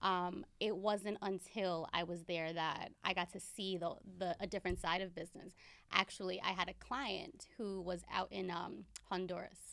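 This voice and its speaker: On a very clean recording with a silent background, a woman speaks in a normal speaking voice. Her pitch is medium, her pace moderate and her intonation fairly even. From New York (Bronx) and Pennsylvania Poconos. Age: 20s. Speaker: boutique owner and flight attendant. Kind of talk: podcast interview.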